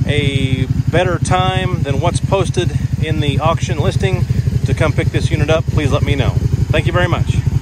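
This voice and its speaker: A dry sound with no echo, a moderate pace, and loud background noise. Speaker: auctioneer. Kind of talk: sales pitch video walkaround. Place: street. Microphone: phone near.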